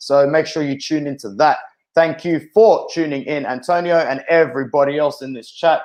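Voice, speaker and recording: A man with an Australian accent speaks in a fairly high voice. His loudness swings widely, while his pitch variation is ordinary. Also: moderate pace. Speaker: football fan streamer. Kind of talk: live watch-along stream. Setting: live stream. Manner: animated.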